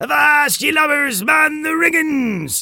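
Bellowing in a put-on character voice, this high-pitched speaker talks at a fairly slow pace. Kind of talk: gruff pirate speech. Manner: bellowing orders.

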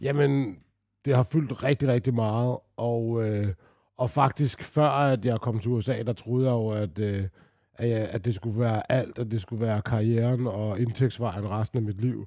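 A man talks at a fairly slow pace with a dark, mellow tone and medium pitch. His intonation stays fairly even in a very clean recording with a silent background. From Denmark. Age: 40s. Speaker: retired basketball player. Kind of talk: casual interview storytelling. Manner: halting, many fillers.

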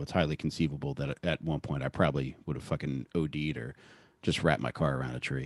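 A man speaks at a very fast pace with vocal fry, in a dry, close sound with no echo on a very clean recording with a silent background. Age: 40s. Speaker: podcast guest sharing drug and recovery story. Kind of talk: casual interview chat.

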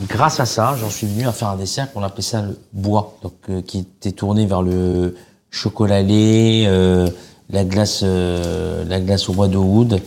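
Speaking at a fairly slow pace, a man uses a plain, everyday voice with a fairly low pitch and fairly even intonation. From Algeria, Oran. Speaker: chef. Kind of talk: casual chat.

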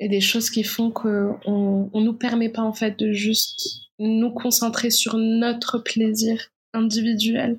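A woman speaks in a fairly high pitch. Her delivery is monotone and flat, at a very slow pace. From Morocco. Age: 20s. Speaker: documentary filmmaker. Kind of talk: interview. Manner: halting.

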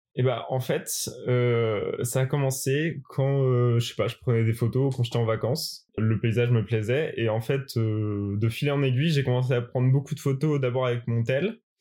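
A man at a medium pitch, with fairly even intonation and a moderate pace. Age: 20s. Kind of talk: interview. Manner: hesitant, many fillers.

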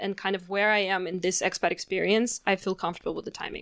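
On a very clean recording with a silent background, a woman at medium pitch uses an ordinary speaking voice with fairly even intonation. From Canada. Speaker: blogger and communications consultant. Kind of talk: interview. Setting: host's apartment.

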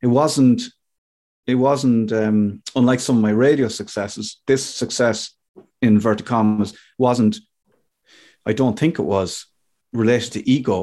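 Delivered with an Irish accent, the dark, mellow voice moves at a fairly slow pace with long, frequent pauses. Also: man, medium pitch for a man, fairly even intonation, quiet background. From Ireland. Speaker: radio DJ and comedian. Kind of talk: casual interview.

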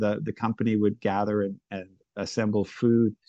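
A man talks at a moderate pace. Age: 50s. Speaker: son of a late journalist. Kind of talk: interview, personal reminiscence. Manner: halting, frequent repetitions.

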